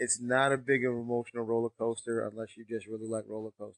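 A man speaks with an American accent at a medium pitch. His pace is fairly quick. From US Northeast. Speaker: podcast co-host. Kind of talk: casual chat.

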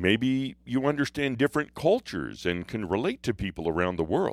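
A man with vocal fry speaks at a fairly slow pace in a very clean recording with a silent background. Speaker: pastor. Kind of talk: devotional talk.

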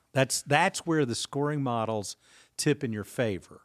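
A man uses a normal speaking voice at medium pitch, with lively intonation. The sound is dry and close with no echo, on a very clean recording with a silent background. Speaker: pastor and author. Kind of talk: casual podcast conversation about finances.

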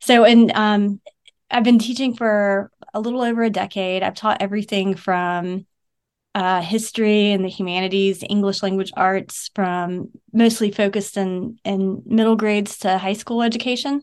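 Against a quiet background, a woman speaks at a moderate pace with a medium pitch and fairly even intonation. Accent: American. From US South, Savannah, Georgia. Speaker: educator and book author. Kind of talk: interview conversation. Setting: remote call.

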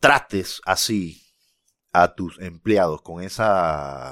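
A man at a very slow pace, in a dry, close sound with no echo. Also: very clean recording, silent background. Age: 40s. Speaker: small business owner. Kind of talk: casual chat.

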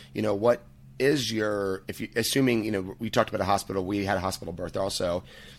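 Very clean recording with a silent background, a man talking at a very fast pace. His pitch is fairly low and his intonation fairly even. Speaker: author and dad-focused birth educator. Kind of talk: interview conversation.

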